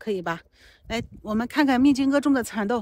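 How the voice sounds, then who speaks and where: Against a quiet background, a woman talks at a fairly quick pace with ordinary pitch variation, the sound dry with no echo. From China, Henan, Huaibin near Anhui border. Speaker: livestream co-host, family member. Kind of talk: casual livestream chat. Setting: outdoors in farm fields.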